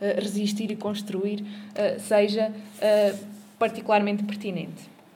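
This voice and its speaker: A woman talks at a moderate pace with a medium pitch. The room echo is audible. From Portugal, Coimbra. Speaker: social activist and local candidate. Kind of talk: panel talk at a political forum. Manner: halting, many repetitions.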